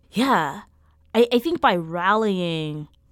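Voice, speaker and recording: A voice with an American accent comes through in a very clean recording with a silent background. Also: woman. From US South, rural Mississippi. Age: 30s. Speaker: artist and activist. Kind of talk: interview. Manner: halting, self-repeating.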